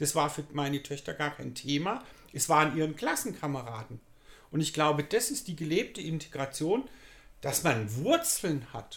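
Using an unremarkable speaking voice, a man talks at a moderate pace, fairly high in pitch with lively intonation. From Germany, Pforzheim (Baden-Württemberg). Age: 60s. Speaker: youth work manager. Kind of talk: interview. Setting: community centre.

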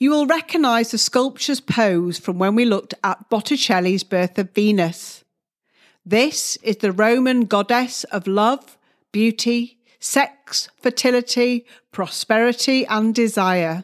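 A woman's unremarkable speaking voice, fairly high in pitch, at a fairly slow pace with ordinary pitch variation, in a dry, close sound with no echo and a very clean recording with a silent background. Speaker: art historian and podcast tour guide. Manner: measured, clear explanatory delivery, pausing to direct listener to the next hall; polite, gently instructive, addresses listener directly.

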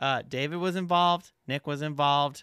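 In a very clean recording with a silent background, a man talks with a bright, sharp tone in a dry, close sound with no echo. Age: 30s. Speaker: podcast co-host. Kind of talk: casual chat. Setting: studio.

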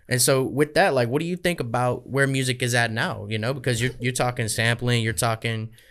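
A man with an unremarkable speaking voice at medium pitch, a moderate pace and fairly even intonation, on a very clean recording with a silent background. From Kentucky, US. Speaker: podcast host. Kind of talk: casual interview chat. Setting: video recording in studio.

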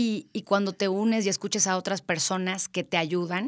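On a very clean recording with a silent background, a woman speaks in a central Mexican accent. Her pace is moderate and her intonation is monotone and flat. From Mexico, Querétaro. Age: 30s. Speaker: event planner. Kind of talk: interview.

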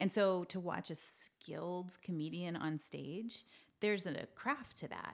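She has an ordinary speaking voice, and this woman's pitch is fairly low. Her pitch variation is ordinary. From Canada (New Brunswick, Maritimes). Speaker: actress. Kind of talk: casual interview chat. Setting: studio with shared mics.

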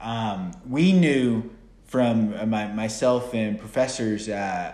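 A man with an American accent speaks at a medium pitch with audible room echo. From United States. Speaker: football podcast host. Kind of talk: casual chat.

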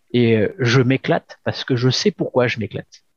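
Somewhat breathy and medium in pitch, a man's voice has a dry, close sound with no echo. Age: 40s. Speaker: shop manager. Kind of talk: interview. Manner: halting, many fillers.

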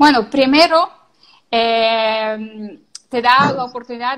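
This woman's voice sits high and moves with ordinary pitch variation. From Ukraine. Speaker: social media consultant. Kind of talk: interview.

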